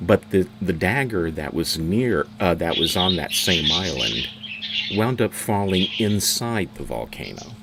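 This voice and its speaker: A man's very deep, low voice, at a fairly slow pace with lively intonation, over noticeable background noise. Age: 60s. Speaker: tour guide. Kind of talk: guided tour. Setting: live stream. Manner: halting.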